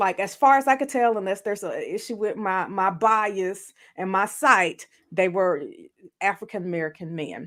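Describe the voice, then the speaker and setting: A woman in a Southern US accent speaks at a fairly slow pace with very wide pitch swings on a very clean recording with a silent background. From US South, Montgomery, Alabama. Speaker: therapist and podcast co-host. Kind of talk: casual discussion.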